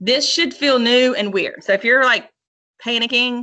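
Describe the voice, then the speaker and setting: A woman's fairly high, bright, sharp voice with ordinary pitch variation. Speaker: math teacher. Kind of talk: online lesson. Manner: fast; casual.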